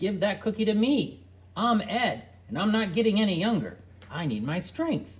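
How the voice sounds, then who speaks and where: At a moderate pace, the speaker uses a put-on character voice with a fairly high pitch. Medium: read story. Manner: grouchy, complaining.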